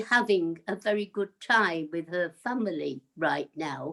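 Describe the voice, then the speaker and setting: A woman speaks at a very slow pace with vocal fry and very wide swings in pitch. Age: 80s+. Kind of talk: interview answer.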